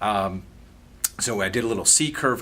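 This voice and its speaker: The speaker is a man. His pitch rises and falls in an ordinary way. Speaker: pain therapist. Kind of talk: educational talk. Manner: halting with many repeated words.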